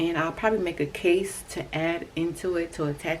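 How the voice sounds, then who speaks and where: A woman speaks at a moderate pace in a fairly low voice, with noticeable background noise behind her. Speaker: crochet vlogger. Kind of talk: casual vlog tutorial. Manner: animated.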